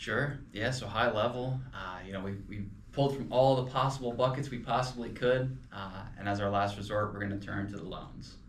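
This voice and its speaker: With an American accent and audible room echo, a man talks at a moderate pace and medium pitch, using fairly even intonation and hardly any pauses. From Pennsylvania. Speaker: financial advisor podcast co-host. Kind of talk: casual podcast discussion. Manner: hesitant, many fillers.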